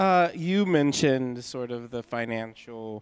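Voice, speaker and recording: With an American accent, a man talks at a fairly slow pace in an ordinary speaking voice of medium pitch. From Pittsburgh, US. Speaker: moderator. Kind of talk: onstage interview. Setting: hall with live audience.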